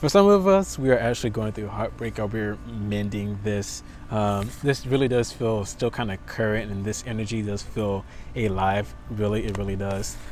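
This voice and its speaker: A man speaks at a fairly low pitch in a monotone, flat way. The room echo is audible. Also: moderate pace. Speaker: tarot reader. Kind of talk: tarot reading. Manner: stuttering; casual.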